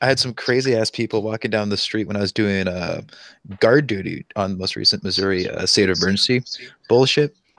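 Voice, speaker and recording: The man's voice is an ordinary speaking voice, fairly low in pitch, with ordinary pitch variation. He talks at a fairly quick pace, and the sound is dry and close with no echo. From US South. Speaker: national guard soldier. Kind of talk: casual chat. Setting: online voice chat.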